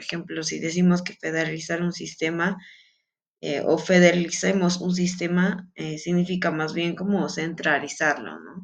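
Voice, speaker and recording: A woman talks in a fairly low voice. Her intonation stays flat and monotone. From Peru. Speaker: student. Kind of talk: class presentation. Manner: halting, many fillers.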